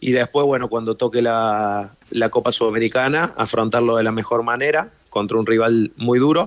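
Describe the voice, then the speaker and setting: With an Argentine accent, a man speaks at a moderate pace with fairly even intonation, very even loudness and hardly any pauses. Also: medium pitch for a man. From Argentina. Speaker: professional football goalkeeper. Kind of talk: radio interview.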